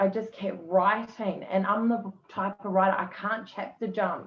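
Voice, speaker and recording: A woman with a New Zealand accent at a fairly slow pace, over noticeable background noise. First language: not English. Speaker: author. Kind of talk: casual interview chat.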